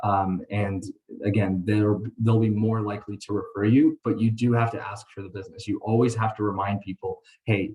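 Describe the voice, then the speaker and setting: This man talks in a somewhat breathy way. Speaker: mortgage lender giving training to realtors. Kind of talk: webinar training presentation. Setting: online call.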